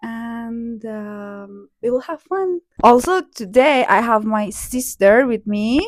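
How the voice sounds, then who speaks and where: A woman speaks at a very slow pace with hardly any pauses, her fairly high voice showing lively intonation and big swings in loudness. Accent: Persian. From Iran (Hamedan, west). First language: Persian. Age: 30s. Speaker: vlogger. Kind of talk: casual vlog talk to camera. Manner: hesitant, many fillers.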